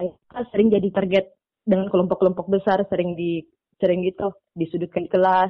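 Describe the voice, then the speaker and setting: Monotone, flat intonation from a woman at medium pitch and a moderate pace. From Makassar, Indonesia. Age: young. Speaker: student comic artist. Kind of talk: interview.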